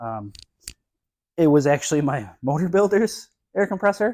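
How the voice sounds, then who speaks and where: A man's dark, mellow tone at a moderate pace, on a very clean recording with a silent background. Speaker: garage builder vlogger. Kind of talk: casual vlog.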